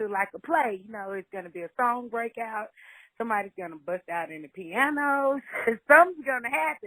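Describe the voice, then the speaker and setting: At a fairly quick pace, a woman with a Southern US accent speaks in a fairly high pitch with very wide pitch swings, in a dry, close sound with no echo. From Louisiana, Shreveport. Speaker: singer-songwriter. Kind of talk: interview.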